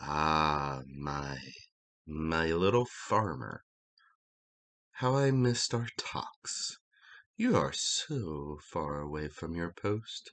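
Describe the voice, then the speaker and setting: A put-on character voice at a very slow pace. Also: man, very deep, low pitch for a man. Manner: menacing, hungry, taunting.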